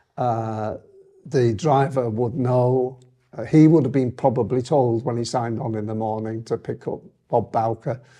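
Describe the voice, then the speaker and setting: A man's dark, mellow voice with a Lancashire accent, fairly even intonation, and a quiet background. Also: medium pitch for a man, moderate pace. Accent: northern English (Lancashire). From northern England, Lancaster. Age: 80s+. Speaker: retired transport executive. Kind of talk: interview reminiscence. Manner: halting, many fillers.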